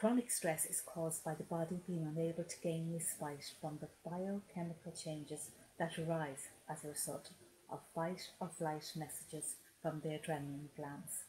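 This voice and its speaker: A woman with an Irish accent speaks at fairly low pitch in a dark, mellow tone that is somewhat breathy. Her pace is moderate and her intonation fairly even. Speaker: hypnotherapist and life coach. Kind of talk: webinar talk with guided hypnosis. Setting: Facebook live stream. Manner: calm, gentle.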